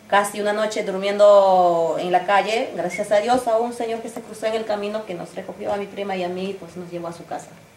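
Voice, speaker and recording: A woman talks at a fairly quick pace with hardly any pauses, fairly even intonation and big swings in loudness, amid noticeable background noise. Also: medium pitch for a woman. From Peru, Ancash region. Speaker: folk singer-songwriter. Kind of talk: interview answer.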